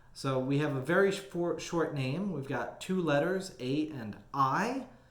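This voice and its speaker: Audible room echo surrounds a man with an American accent. His fairly high voice has lively intonation. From Texas. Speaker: Bible study teacher. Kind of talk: Bible study teaching. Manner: casual with many filler words.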